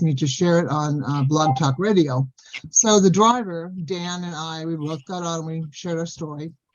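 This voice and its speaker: A woman with an American accent speaks in an ordinary speaking voice, fairly low in pitch. She talks at a moderate pace with ordinary pitch variation. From Southern California. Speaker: Sasquatch experiencer. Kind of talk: casual chat.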